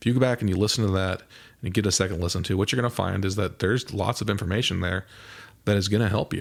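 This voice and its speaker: Recorded very cleanly with a silent background, a man with a Midwestern US accent and a fairly low pitch talks at a very fast pace. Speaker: mental performance coach, podcast host. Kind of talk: podcast monologue. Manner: casual, conversational with occasional stumbles.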